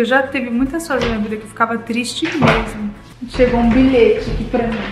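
A woman speaks with monotone, flat intonation. Noticeable background noise and audible room echo are present. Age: 30s. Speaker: YouTuber mom vlogger. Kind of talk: casual vlog monologue.

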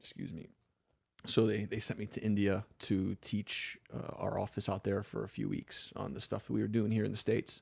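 A man with an American accent, fairly low pitch, fairly even intonation and vocal fry. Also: moderate pace. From US South, South Florida (Palm Beach County). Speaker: parkour coach and former poet. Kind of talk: casual interview chat. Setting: studio.

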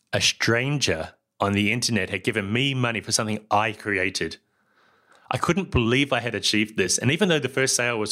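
In a New Zealand accent, the voice has a bright, sharp tone and ordinary pitch variation, captured in a very clean recording with a silent background. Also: man. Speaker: podcast host and software founder. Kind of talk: talk to students, solo presentation. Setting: lecture to students, recorded talk.

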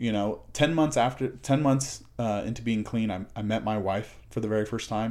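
A man's voice sits at a medium pitch, moving at a moderate pace with ordinary pitch variation. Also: hardly any pauses. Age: 30s. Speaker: podcast guest, recovered addict. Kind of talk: casual chat. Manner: halting, many fillers and repeats.

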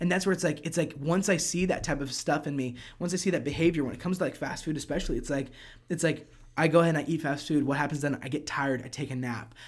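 With an American accent, a man speaks at a very fast pace in a fairly high, somewhat breathy voice. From US Mid-Atlantic. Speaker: worship leader and singer-songwriter. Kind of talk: casual chat.

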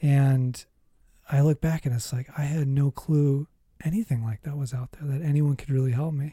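A somewhat breathy man with an American accent and fairly even intonation, dry and close with no echo. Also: fairly high pitch for a man, moderate pace. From US Midwest (Minnesota). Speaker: psychotherapist. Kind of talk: interview about life story.

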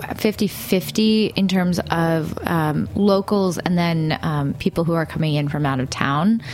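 Over noticeable background noise, a woman with an American accent speaks at a fairly low pitch with ordinary pitch variation. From Brooklyn, New York. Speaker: radio network staff. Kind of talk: casual chat. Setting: radio studio.

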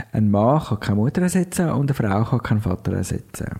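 The man's voice has a dark, mellow tone. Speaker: podcast co-host. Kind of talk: casual chat.

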